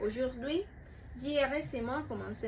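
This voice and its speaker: A woman with vocal fry, at a fairly slow pace, with audible room echo. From Cuba. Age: 20s. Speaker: student applicant. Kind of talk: prepared self-presentation.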